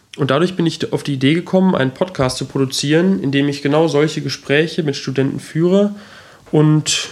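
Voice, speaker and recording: Delivered at a fairly quick pace with ordinary pitch variation, the speech sits over noticeable background noise. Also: man. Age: 20s. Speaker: podcast host. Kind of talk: solo introduction monologue.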